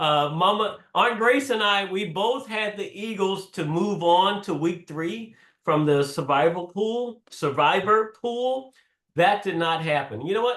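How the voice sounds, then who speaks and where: Speaking at a fairly slow pace, a man with a high pitch sounds animated, his intonation lively. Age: 60s. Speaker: podcast host. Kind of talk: casual chat.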